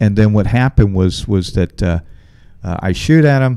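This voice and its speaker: An American accent from a man with a fairly low pitch, ordinary pitch variation and a moderate pace. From Ohio, Dayton area. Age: 40s. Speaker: comedian. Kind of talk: casual chat. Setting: live stream.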